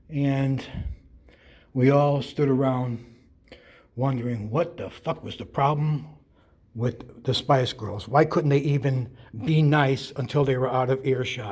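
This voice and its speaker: A somewhat breathy man at medium pitch, fairly slow and fairly even, with long, frequent pauses. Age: 70s. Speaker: retired stagehand telling a story. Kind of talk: personal storytelling monologue. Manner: conversational with hesitations.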